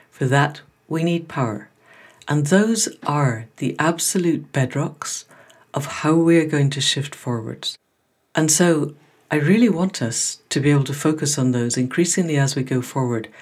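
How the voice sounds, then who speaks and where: A woman speaks with a very deep, low pitch and ordinary pitch variation. It is a very clean recording with a silent background. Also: moderate pace. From Scotland. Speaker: podcast host. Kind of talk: scripted introduction; interview conversation.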